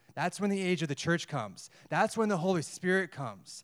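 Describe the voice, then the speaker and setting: A man with an American accent, high-pitched, with ordinary pitch variation, in a very clean recording with a silent background. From United States. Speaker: missionary. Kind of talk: sermon. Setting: church.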